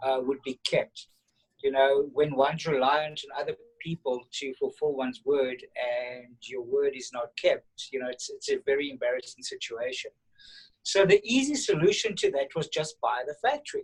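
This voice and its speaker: A man with a South African accent at a moderate pace, the sound dry and close with no echo. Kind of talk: casual interview. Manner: halting, repeats words.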